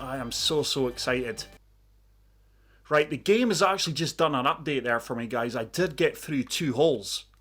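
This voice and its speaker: In a very clean recording with a silent background, a man with a Scottish accent speaks at a moderate pace, his fairly high voice carrying lively intonation. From Scotland. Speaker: gaming YouTuber. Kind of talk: gameplay commentary.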